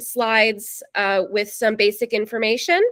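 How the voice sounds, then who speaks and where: This woman's voice sits fairly high in pitch. She talks at a fairly slow pace. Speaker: events manager hosting info session. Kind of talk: online information session presentation. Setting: video call. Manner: many filler words (um, uh).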